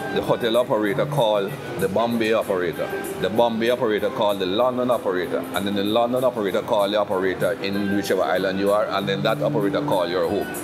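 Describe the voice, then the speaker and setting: This man speaks very fast as clear music plays in the background. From Jamaica. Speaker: former cricket fast bowler. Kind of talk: interview answer. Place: cafe.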